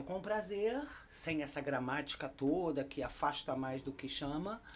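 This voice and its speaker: A woman in a German accent, fairly slow in pace, with lively intonation. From Germany. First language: German (speaking Portuguese). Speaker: German teacher. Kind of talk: casual chat.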